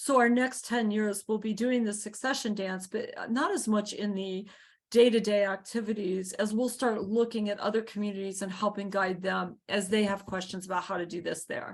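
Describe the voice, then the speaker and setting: At a moderate pace, a woman speaks with an ordinary speaking voice and a medium pitch. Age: 60s. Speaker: community garden founder. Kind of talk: video call interview.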